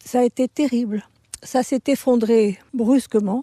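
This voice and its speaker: Her voice fairly high, a woman speaks at a very slow pace with a dark, mellow tone in a dry, close sound with no echo. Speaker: eyewitness villager. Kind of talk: testimony.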